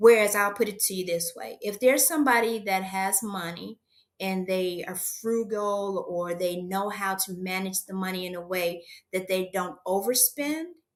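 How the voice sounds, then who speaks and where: Here is a woman with a plain, everyday voice at medium pitch. She keeps a moderate pace and ordinary pitch variation, though her loudness swings widely. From USA. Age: 60s. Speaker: aspiring entrepreneur. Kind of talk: coaching session.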